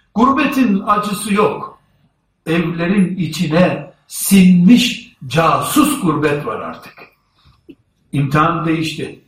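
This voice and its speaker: With a high pitch and lively intonation, a man talks at a very slow pace. His loudness swings widely, and audible room echo fills the space. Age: 50s. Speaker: Islamic preacher. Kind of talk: sermon. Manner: formal.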